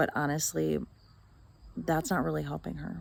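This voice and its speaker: A soft-spoken woman talks at a moderate pace in a very clean recording with a silent background. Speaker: vlogger. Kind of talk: video diary monologue. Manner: mellow.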